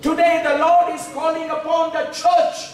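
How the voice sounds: With strong room echo, the voice moves at a moderate pace and shows little pitch movement. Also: man, extremely high pitch for a man.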